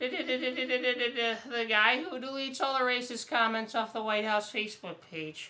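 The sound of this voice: A female-sounding voice with a high pitch speaks at a moderate pace with ordinary pitch variation.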